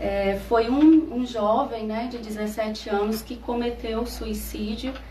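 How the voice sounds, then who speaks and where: A woman's fairly high voice at a very slow pace, amid noticeable background noise. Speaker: psychologist. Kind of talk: radio interview answer.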